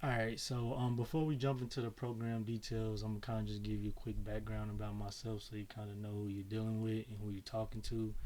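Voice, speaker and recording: A fairly low-pitched man with an American accent, dark, mellow tone and audible room echo. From Chicago, US Midwest. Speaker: tax business owner and mentor. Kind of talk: webinar presentation. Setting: video webinar. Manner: casual, many fillers (um, uh).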